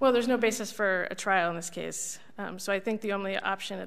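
A woman speaks very fast at a medium pitch, her intonation fairly even and touched with vocal fry. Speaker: government lawyer. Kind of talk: appellate oral argument. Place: hall. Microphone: podium.

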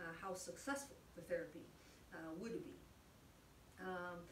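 A woman at a moderate pace, ordinary pitch variation, light background noise and audible room echo. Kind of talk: informational panel talk. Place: office. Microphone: camera far.

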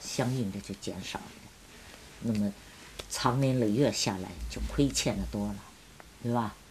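Speaking fairly slowly over light background noise, a woman uses a very deep, low pitch with ordinary pitch variation. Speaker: former student sent to countryside, witness; witness. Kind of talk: interview testimony. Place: home room.

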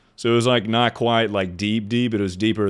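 A man's booming voice comes through with a clear, smooth tone at a fairly quick pace. The recording is very clean, with a silent background.

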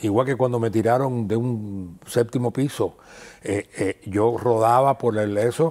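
A man's dark, mellow, medium-pitched voice at a fairly slow pace, with fairly even intonation and a quiet background. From Cuba, rural Havana province. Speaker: actor and theatre festival director; guest actor. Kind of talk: interview. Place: studio. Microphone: lapel.

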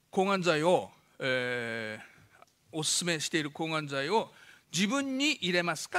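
Over a quiet background, a man speaks with a bright, sharp tone and a fairly high pitch. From Fukushima, Japan. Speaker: doctor giving a public lecture. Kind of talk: lecture. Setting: stage with audience. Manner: fast talker. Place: hall. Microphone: podium.

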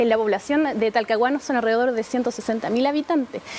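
Speaking at a fairly quick pace in a Chilean accent, a woman keeps a high pitch and fairly even intonation over light background noise. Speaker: city councillor. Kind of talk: TV interview. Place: studio. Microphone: lapel.

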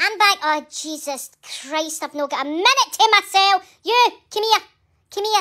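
A woman's put-on character voice at an extremely high pitch. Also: moderate pace. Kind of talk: comedic voice-over. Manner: scolding, loud.

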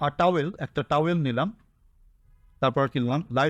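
A man with a fairly high voice speaks with ordinary pitch variation in a dry, close sound with no echo. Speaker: English tutor. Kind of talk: lecture.

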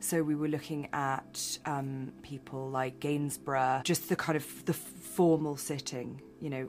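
With a British accent, a woman speaks at a fairly slow pace in a very deep, low pitch, her intonation fairly even and hardly any pauses, while faint music plays in the background. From England. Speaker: film director. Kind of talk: interview answer.

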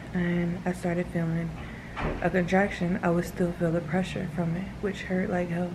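Over noticeable background noise, a woman speaks at a moderate pace and fairly low pitch, her tone weary and her intonation monotone and flat. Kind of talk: casual vlog chat. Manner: weary, low-energy talk lying down. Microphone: phone near.

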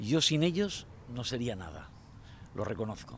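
A man speaks at a medium pitch with lively intonation, the sound dry with no echo and light background noise behind him. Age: 50s. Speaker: local election candidate; election candidate. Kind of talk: campaign interview. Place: waterside. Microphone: handheld.

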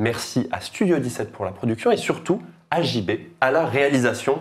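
Here is a man with a normal speaking voice. His intonation is lively and his pace fairly slow. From France, Tours. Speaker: podcast host. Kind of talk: casual chat.

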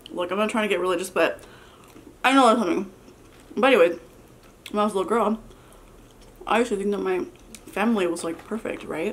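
A woman talks at a very fast pace with ordinary pitch variation. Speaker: mukbang vlogger. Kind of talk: casual vlog chat. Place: home room.

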